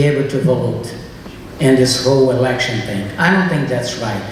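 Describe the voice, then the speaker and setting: In a Portuguese accent, a man speaks at a moderate pace amid noticeable background noise and audible room echo. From Brazil. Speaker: political candidate. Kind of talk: candidate forum answer. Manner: halting.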